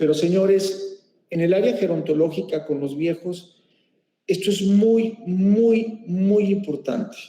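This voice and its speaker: Very slow speech in a dark, mellow tone, with audible room echo. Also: man, high pitch for a man, ordinary pitch variation. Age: 50s. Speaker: medical professor. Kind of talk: lecture.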